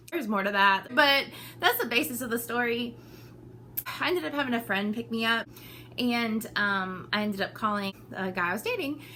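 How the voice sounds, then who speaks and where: A woman with a fairly high pitch and an animated tone talks at a fairly quick pace with long, frequent pauses over noticeable background noise. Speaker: vlogger. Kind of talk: casual chat.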